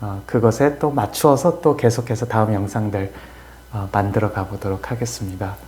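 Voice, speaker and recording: A man's voice is somewhat breathy. Its pitch varies in an ordinary way. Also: fairly low pitch for a man. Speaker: philosophy scholar explaining a classical text. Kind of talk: lecture-style discussion. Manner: slow; hesitant, many fillers.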